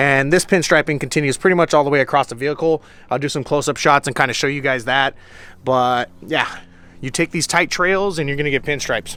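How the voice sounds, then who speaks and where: A man speaks at a very fast pace. His pitch varies in an ordinary way. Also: fairly high pitch for a man. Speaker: off-road vehicle YouTuber. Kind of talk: vehicle walkaround review.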